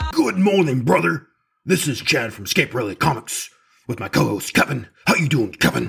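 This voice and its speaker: A man performs a raspy, put-on character voice at medium pitch with very wide pitch swings. He keeps a moderate pace while music plays in the background. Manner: wrestler-style promo, boisterous.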